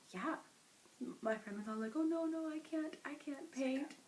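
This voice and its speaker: Against noticeable background noise, a soft-spoken woman with a high pitch talks at a moderate pace. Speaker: podcast co-host, knitter. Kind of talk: casual chat.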